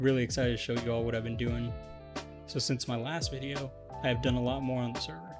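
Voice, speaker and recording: A man speaks at medium pitch. Music is heard in the background. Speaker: Minecraft gameplay YouTuber. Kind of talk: gameplay commentary voice-over. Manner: monotone.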